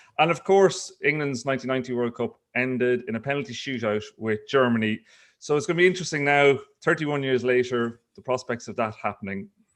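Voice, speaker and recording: The speech comes at a very fast pace in an Irish accent. Pitch varies in an ordinary way. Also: man. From Ireland. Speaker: investigative journalist. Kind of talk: casual chat.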